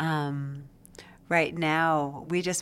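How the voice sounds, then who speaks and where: On a very clean recording with a silent background, a woman speaks with an American accent at a very deep, low pitch. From Las Vegas, Nevada. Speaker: medical school faculty, well-being director. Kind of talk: interview.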